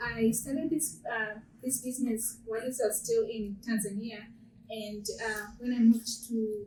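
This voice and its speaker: A woman's fairly high voice with an African accent. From Zimbabwe. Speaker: small business owner. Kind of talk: panel discussion. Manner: halting.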